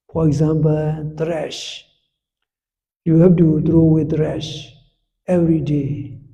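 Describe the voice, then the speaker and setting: With audible room echo, a man speaks very slowly in a fairly high pitch and a dark, mellow tone. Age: 70s. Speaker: Buddhist monk and meditation teacher. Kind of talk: meditation instruction talk.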